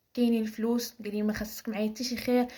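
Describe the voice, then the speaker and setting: In a Moroccan accent, a woman speaks with a fairly high pitch, a dark, mellow tone, a somewhat breathy quality and monotone, flat intonation. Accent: Moroccan Arabic (Darija). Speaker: storyteller. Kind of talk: personal story telling. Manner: casual, with hesitations.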